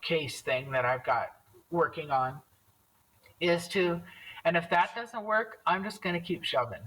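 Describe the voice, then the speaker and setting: A woman speaking at a fairly slow pace. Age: 60s. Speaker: bereaved widow sharing her story. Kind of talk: interview testimony. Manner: animated.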